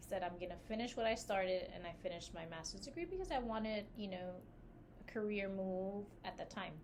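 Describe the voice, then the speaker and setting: The recording has audible room echo. A woman speaks at a medium pitch. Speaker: podcast co-host and business founder. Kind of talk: casual chat. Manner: animated.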